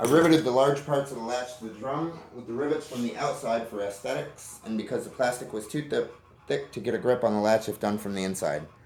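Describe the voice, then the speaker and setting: A man talks at a very fast pace with ordinary pitch variation. Audible room echo and light background noise surround him. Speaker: firearms hobbyist YouTuber. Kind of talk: tutorial. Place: garage. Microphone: phone near.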